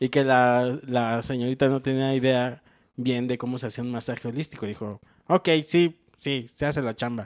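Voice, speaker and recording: In a central Mexican accent, a man speaks with fairly even intonation against a quiet background. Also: moderate pace. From Mexico, Morelos; Mexico. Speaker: comedian. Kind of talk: casual chat. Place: home room. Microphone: handheld.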